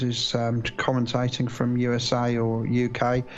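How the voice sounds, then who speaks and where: With a British accent, a man speaks at medium pitch in monotone, flat intonation over noticeable background noise. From UK. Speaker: live stream launch commentator. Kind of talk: live commentary. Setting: live stream, remote commentary. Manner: hesitant, many fillers.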